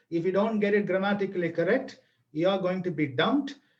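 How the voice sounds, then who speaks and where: A man with a Tamil accent, high pitch and ordinary pitch variation. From Tamil Nadu, India. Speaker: language teaching speaker. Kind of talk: webinar lecture. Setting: online video webinar. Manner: animated.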